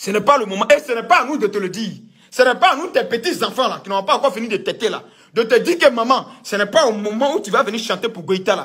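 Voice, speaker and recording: Against a quiet background, a man speaks at an extremely high pitch with a bright, sharp tone. His delivery is animated, with lively intonation and a very fast pace. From Ivory Coast. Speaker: political commentator. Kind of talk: political rant. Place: home room. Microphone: phone near.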